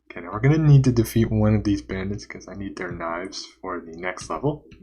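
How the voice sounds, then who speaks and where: Talking at a very fast pace, a man with a fairly low, dark and mellow voice sounds somewhat breathy, his intonation lively and his loudness swinging widely. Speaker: game developer and streamer. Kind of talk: live stream gameplay commentary. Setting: live stream.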